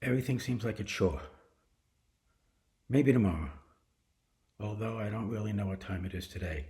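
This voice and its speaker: Somewhat breathy and dark, mellow in tone, a man speaks at a fairly quick pace with a fairly low pitch, ordinary pitch variation, and long, frequent pauses. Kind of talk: casual talk to camera.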